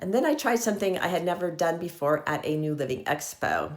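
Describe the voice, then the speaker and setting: A woman with an unremarkable speaking voice talks at a fairly quick pace, her pitch fairly low. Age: 60s. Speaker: lifestyle vlogger. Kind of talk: casual vlog monologue.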